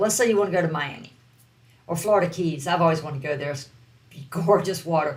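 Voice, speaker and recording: A woman with a Southern US accent and lively intonation. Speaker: online business coach. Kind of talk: online course lesson.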